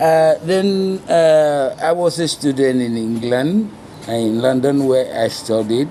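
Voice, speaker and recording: Noticeable background noise accompanies a man speaking at a very slow pace with a fairly high pitch and lively intonation. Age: 60s. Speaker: former drug user. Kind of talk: interview. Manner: halting, many fillers.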